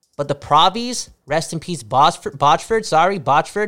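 Over music in the background, a man talks at a moderate pace in an animated tone, with lively intonation. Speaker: podcast host. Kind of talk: casual chat.

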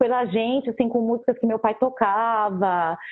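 This is a woman speaking. Her pace is moderate. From Brazil, São Paulo (south zone periphery). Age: 40s. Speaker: DJ and schoolteacher. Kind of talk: casual interview. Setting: live stream.

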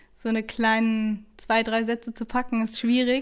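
Speaking at a fairly slow pace, a woman keeps a monotone, flat intonation. Her pitch is fairly high. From Hesse, Germany (Taunus). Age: 20s. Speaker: student teacher and local election candidate. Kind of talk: interview. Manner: hesitant, many fillers.

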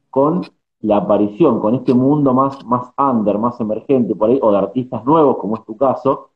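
This man has a plain, everyday voice. He talks at medium pitch and a moderate pace. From Argentina. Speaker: journalist and podcast host. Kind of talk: interview.

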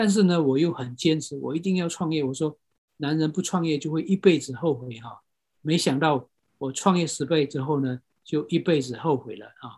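Recorded very cleanly against a silent background, a man with a fairly high, somewhat breathy voice speaks at a moderate pace, with ordinary pitch variation and big swings in loudness. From Myanmar. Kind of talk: lecture. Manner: halting.

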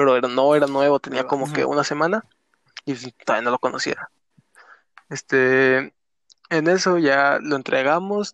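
Long, frequent pauses, ordinary pitch variation and a dry, close sound with no echo, with a Mexican accent. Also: man, fairly high pitch for a man, moderate pace. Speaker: podcast co-host. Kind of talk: casual chat.

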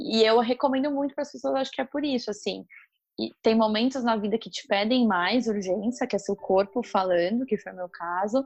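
This woman has a normal speaking voice, fairly high in pitch, with lively intonation. She speaks at a moderate pace against a quiet background. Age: 30s. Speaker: marketing professional. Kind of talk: casual interview.

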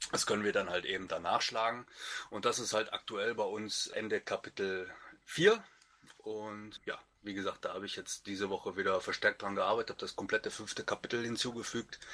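A man with a Lower Rhine accent talks at a fairly quick pace. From Lower Rhine region, Germany. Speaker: wiki maintainer on a writing team. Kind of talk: casual chat.

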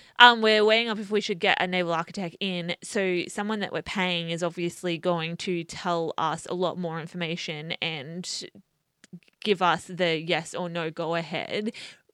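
A woman speaks at a moderate pace with an Australian accent, her pitch fairly low and her tone bright and sharp. Her intonation stays fairly even over a very clean recording with a silent background. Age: 20s. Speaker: sailing YouTuber. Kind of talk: casual chat.

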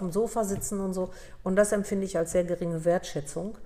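A woman with an unremarkable speaking voice talks at a fairly quick pace. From Upper Silesia, Poland; raised in Germany from 1963. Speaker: dental practice consultant and entrepreneur. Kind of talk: interview.

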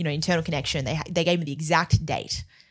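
Very fast speech from a woman with a very deep, low pitch and an Australian accent, on a very clean recording with a silent background. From Australia, Melbourne. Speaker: entrepreneur and brand building expert. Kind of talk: casual interview chat. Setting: studio.

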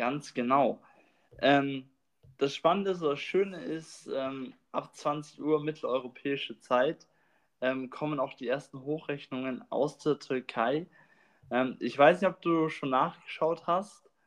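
A fairly high-pitched man, very slow, with long, frequent pauses, ordinary pitch variation and a quiet background. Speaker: podcast host. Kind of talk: casual chat. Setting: recording room. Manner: rambling, many filler words.

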